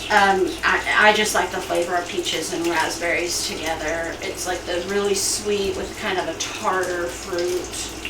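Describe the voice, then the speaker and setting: Over noticeable background noise, a soft-spoken voice moves at a fairly slow pace with hardly any pauses. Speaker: streamer cooking on a live stream. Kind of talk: casual cooking stream chat. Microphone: far from the mic, a little quiet.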